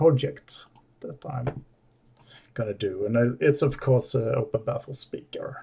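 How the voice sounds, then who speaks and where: The speaker is a man. He has a non-native accent. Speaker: DIY audio hobbyist. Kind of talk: tutorial. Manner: halting.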